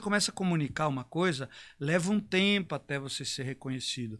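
This man's pitch sits fairly high. He has an unremarkable speaking voice. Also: very clean recording, silent background. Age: 50s. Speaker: fitness trainer and business mentor. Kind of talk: live stream conversation.

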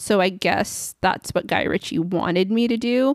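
A woman speaks at a moderate pace with a Californian accent. The sound is dry and close with no echo, in a very clean recording with a silent background. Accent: Californian American. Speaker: film review podcaster. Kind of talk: solo podcast monologue. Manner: casual, chatty.

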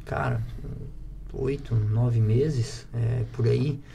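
Very slow speech from a man, with audible room echo and noticeable background noise. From Santa Catarina, Brazil (rural interior). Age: 30s. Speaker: entrepreneur, plywood factory owner. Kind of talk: casual interview.

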